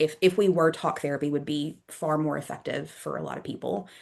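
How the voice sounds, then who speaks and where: A woman's very deep, low voice with vocal fry, at a fairly quick pace. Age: 30s. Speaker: yoga therapist and mind-body practitioner. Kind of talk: interview conversation. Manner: fast.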